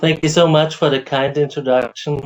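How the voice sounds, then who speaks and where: A man speaks with an Austrian accent. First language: German. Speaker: professor and AI researcher. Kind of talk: lecture. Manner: hesitant with fillers.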